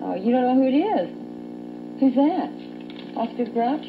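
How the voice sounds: Over clear background noise, a woman speaks at a fairly slow pace in a high pitch with big pitch swings.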